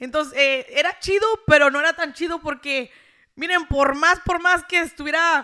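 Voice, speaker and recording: In a raised, projected voice, a woman speaks at a moderate pace with a high pitch, a bright, sharp tone and ordinary pitch variation against a quiet background. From rural Mexico. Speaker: social media content creator. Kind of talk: casual interview. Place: studio. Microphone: handheld.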